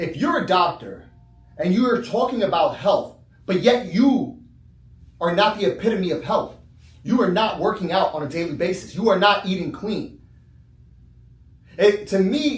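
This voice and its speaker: A man speaks in a high voice with lively intonation at a moderate pace. Long, frequent pauses break it up, and there is audible room echo. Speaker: chiropractor. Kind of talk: casual talk. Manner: conversational, filler-heavy.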